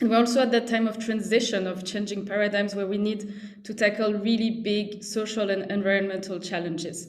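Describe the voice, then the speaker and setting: In a room with audible echo, a woman with a French accent talks at a fairly quick pace with a medium pitch, hardly any pauses and monotone, flat intonation. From France. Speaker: social entrepreneur, CEO. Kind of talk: presentation at online panel.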